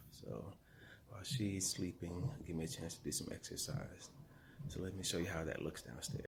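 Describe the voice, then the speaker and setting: Very deep and low in pitch, a man's somewhat breathy voice makes very wide pitch swings at a moderate pace. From Atlanta, Georgia. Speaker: vlogger. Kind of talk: casual vlog narration. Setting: at home, basement.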